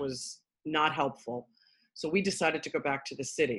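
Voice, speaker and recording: In a New York accent, a woman speaks with a very deep, low voice and ordinary pitch variation. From Queens, New York. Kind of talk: casual interview.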